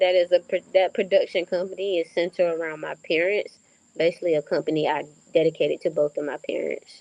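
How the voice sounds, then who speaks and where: Over a dry, close sound with no echo, a woman with a Southern US accent talks at a very fast pace in a dark, mellow tone, fairly low in pitch and monotone, flat in intonation. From North Carolina, USA. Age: 20s. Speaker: author and film director. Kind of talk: interview answer.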